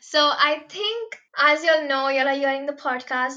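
A woman's raised, projected voice, high in pitch, with noticeable background noise. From India, Mumbai. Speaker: university student club president. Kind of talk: podcast interview. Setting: remote recording at home.

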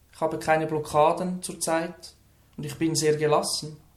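A man with a Lucerne accent talks at a fairly slow pace. Room echo is audible. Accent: Swiss German (Lucerne). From Switzerland, Lucerne. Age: 20s. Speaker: person who stutters, trainee social worker. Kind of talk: interview. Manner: few audible stutters.

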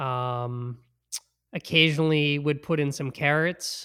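A man in an American accent, fairly high and bright, sharp in tone, at a very slow pace with fairly even intonation, in a very clean recording with a silent background. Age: 30s. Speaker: vegan entrepreneur and triathlete. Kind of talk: casual interview chat. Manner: hesitant, many fillers.

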